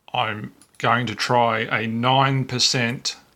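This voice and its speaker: Speaking with an Australian accent, a man uses a medium pitch, a bright, sharp tone and monotone, flat intonation. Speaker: photo scanning hobbyist. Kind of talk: software tutorial narration. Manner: casual, unhurried.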